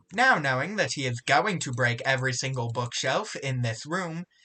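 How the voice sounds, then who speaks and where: An unremarkable speaking voice from a man, medium in pitch, with ordinary pitch variation and a fairly slow pace. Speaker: gaming youtuber. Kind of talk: gameplay commentary with self-narration.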